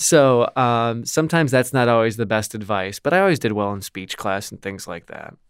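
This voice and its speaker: This man's voice sits at a medium pitch with lively intonation. He talks fairly quickly, and his loudness swings a lot. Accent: American. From Milwaukee, Wisconsin. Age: 30s. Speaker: radio host. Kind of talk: interview.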